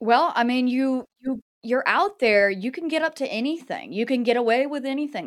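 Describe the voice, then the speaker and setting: A woman's normal speaking voice at a moderate pace. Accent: American. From US South, North Carolina. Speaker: podcast host and cryptid investigator. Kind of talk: interview.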